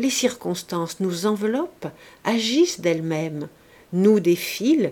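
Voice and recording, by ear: A natural voice reads aloud, and the intonation is lively.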